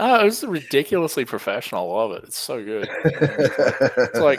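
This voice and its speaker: A man speaks in an Australian accent at a moderate pace. His loudness swings widely. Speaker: comic shop owner and YouTuber. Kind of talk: casual chat.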